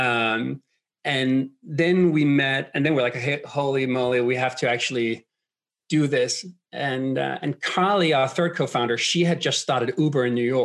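Speaking with a Danish accent, a man keeps a medium pitch, a moderate pace, ordinary pitch variation and very even loudness. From Denmark. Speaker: startup co-founder. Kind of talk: interview.

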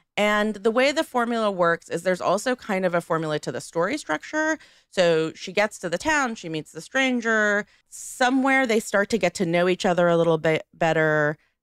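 On a very clean recording with a silent background, a woman speaks at a moderate pace in an animated tone with very wide pitch swings. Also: medium pitch for a woman. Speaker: podcast host. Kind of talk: casual chat.

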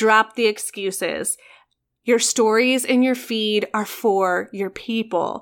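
An animated tone comes through in a very clean recording with a silent background. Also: woman. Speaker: podcast host and photographer. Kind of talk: pep talk. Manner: animated, fired-up and encouraging; direct, emphatic, punchy phrasing.

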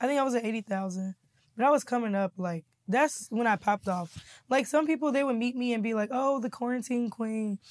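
At a fairly quick pace, a woman speaks in a fairly high pitch with ordinary pitch variation. The sound is dry and close with no echo, and the recording very clean over a silent background. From Kansas City, Missouri. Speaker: comedian and YouTuber. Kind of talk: casual interview.

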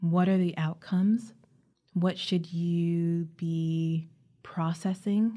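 Very slow and somewhat breathy, a woman's voice carries a dark, mellow tone. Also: fairly low pitch for a woman. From Caribbean. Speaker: psychotherapist and podcast host. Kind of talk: solo podcast monologue.

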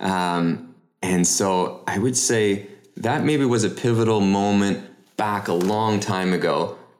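Speaking at a very slow pace with a Canadian accent, a man with a fairly low pitch keeps his loudness very even amid audible room echo. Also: ordinary pitch variation. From Canada (Toronto area). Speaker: real estate investor. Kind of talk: interview.

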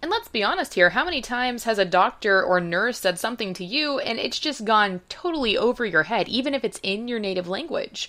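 A woman's ordinary speaking voice, fairly high-pitched, with lively intonation, a fairly quick pace and hardly any pauses. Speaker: podcast host. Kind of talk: scripted narration.

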